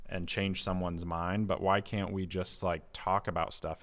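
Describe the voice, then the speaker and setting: This man has a very deep, low pitch and talks at a moderate pace in a monotone, flat intonation. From US Midwest (Indiana). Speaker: pastor. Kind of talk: casual interview.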